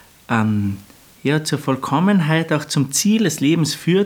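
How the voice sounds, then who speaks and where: At a very slow pace, a man with a fairly high voice swings his pitch very widely. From Austria, Lungau (Salzburg). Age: 30s. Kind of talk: interview.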